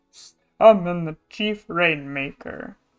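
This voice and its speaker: Over music in the background, a female-sounding voice does a booming, put-on character voice at a middle pitch. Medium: virtual streamer. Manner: bossy, booming.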